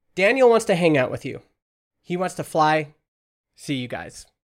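A man with a Western Canadian accent speaks at a moderate pace in a high voice with lively intonation, on a very clean recording with a silent background. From Canada (Alberta). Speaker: entrepreneur. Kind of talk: casual chat.

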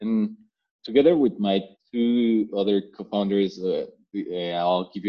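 This man speaks with a Spanish accent at a fairly slow pace. His pitch is fairly low. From Mexico. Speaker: health tech startup founder. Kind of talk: interview. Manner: hesitant, many fillers.

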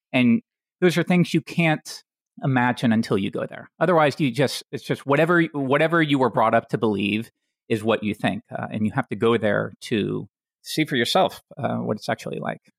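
With an American accent and vocal fry, a man speaks in lively intonation, the sound dry and close with no echo on a very clean recording with a silent background. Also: medium pitch for a man, moderate pace. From Tennessee, US South. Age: 30s. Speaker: online programming educator. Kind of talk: casual chat.

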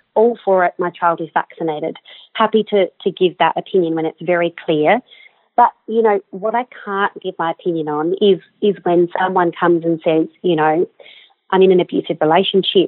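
In an Australian accent, a woman speaks at a medium pitch and moderate pace with fairly even intonation. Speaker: general practitioner. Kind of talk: interview. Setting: phone call.

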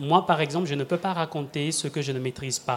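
A fairly high-pitched male voice at a moderate pace. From Republic of the Congo. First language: a Congolese language (speaking French). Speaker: performer and storyteller. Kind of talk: live radio panel discussion. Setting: live public broadcast at tables.

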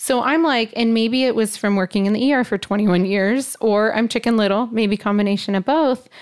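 Fairly high in pitch with ordinary pitch variation, a woman uses a normal speaking voice at a fairly quick pace with very even loudness. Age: 40s. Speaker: aesthetics injector. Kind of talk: casual chat.

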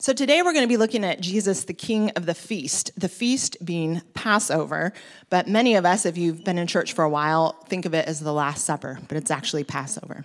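With an unremarkable speaking voice, a woman of fairly low pitch talks at a fairly quick pace, her intonation lively and hardly any pauses breaking it up. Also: very clean recording, silent background. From US West Coast (Oregon). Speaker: preacher. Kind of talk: sermon. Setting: church.

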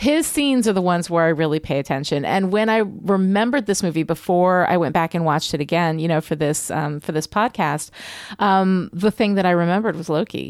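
Her fairly low-pitched voice moves at a fairly quick pace with ordinary pitch variation. The woman is heard on a very clean recording with a silent background. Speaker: podcast co-host, story expert. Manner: sounds sarcastic even when sincere.

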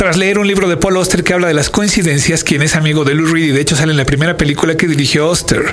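Amid noticeable background noise and audible room echo, a man talks at a very fast pace in a fairly high voice with ordinary pitch variation. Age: 30s.

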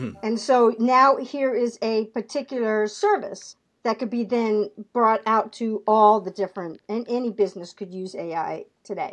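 A woman's normal speaking voice, fairly high in pitch, with ordinary pitch variation and a moderate pace against a quiet background. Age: 60s. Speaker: sales and marketing trainer, entrepreneur. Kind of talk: casual interview.

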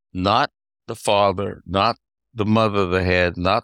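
A man with a Southern US accent talks at a fairly slow pace, his very deep, low voice held in fairly even intonation. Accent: Southern US (Georgia). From US South, Georgia. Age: 80s+. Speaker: retired chamber of commerce executive. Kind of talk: casual interview. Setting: remote call.

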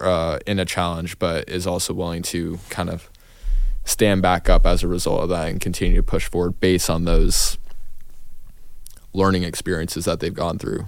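Speaking at a moderate pace, a man uses a low voice. His pitch moves very little.

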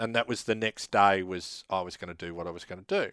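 Against a quiet background, a man with an Australian accent comes through with a dry, close sound and no echo. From Queensland, Australia (Laidley). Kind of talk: casual interview.

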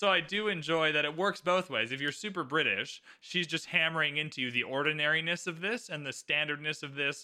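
A man with a Canadian accent has an ordinary speaking voice, fairly high in pitch, with ordinary pitch variation at a moderate pace. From Canada. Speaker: podcast host. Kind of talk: casual chat.

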